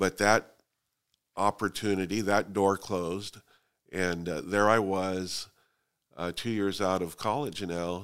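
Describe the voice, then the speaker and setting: Very deep and low in pitch, a man talks at a fairly slow pace with fairly even intonation on a very clean recording with a silent background. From US West Coast (Fresno, California). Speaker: real estate company founder. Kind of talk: interview. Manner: halting.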